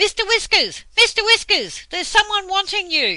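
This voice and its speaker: A squeaky, put-on character voice at an extremely high pitch talks at a moderate pace. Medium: read story. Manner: cross.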